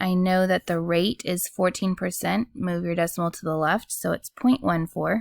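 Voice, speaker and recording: In a very clean recording with a silent background and a dry, close sound with no echo, a woman with a medium pitch uses a normal speaking voice at a moderate pace, with ordinary pitch variation and hardly any pauses. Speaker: math teacher. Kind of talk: tutorial.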